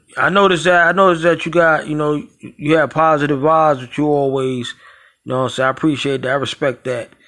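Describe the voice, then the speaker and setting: A man with a fairly high, bright, sharp voice talks fairly quickly with ordinary pitch variation. The recording is very clean, with a silent background. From New York, Brooklyn. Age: 40s. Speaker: podcast host. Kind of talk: casual interview.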